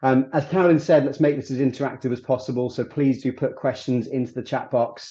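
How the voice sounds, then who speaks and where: A man with a British accent speaks in a dark, mellow tone with fairly even intonation against a quiet background. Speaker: recruitment firm executive. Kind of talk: webinar presentation.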